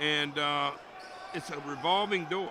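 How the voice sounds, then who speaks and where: A man talks amid noticeable background noise, with audible room echo around his voice. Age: 60s. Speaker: color commentator. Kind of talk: live commentary.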